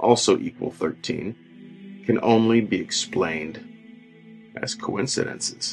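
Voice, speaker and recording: Music plays behind the speaker. He is a man whose intonation is lively. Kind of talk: horror story narration.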